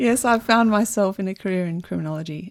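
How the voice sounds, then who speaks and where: In a very clean recording with a silent background, a woman talks. She has an Australian accent and lively intonation. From Melbourne, Australia. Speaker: criminology researcher. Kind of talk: radio interview. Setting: radio studio.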